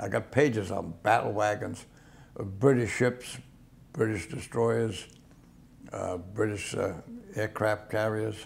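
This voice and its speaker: Long, frequent pauses break up this man's fairly slow speech. His voice is somewhat breathy and fairly low in pitch. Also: ordinary pitch variation. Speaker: World War II Navy veteran. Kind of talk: oral history interview answer.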